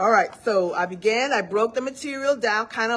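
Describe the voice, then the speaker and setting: A woman speaks with a Virgin Islands accent. Her pitch is fairly high and her intonation fairly even. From US Virgin Islands. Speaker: study group instructor. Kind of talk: live online study session talk. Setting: live video session.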